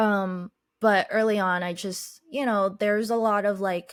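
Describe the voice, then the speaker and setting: Speaking at a fairly slow pace, a woman keeps her medium-pitched voice in fairly even intonation. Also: very clean recording, silent background. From Boston, US (Chinese family, moved around a lot). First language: Chinese. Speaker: podcaster and life coach. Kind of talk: podcast interview, personal story.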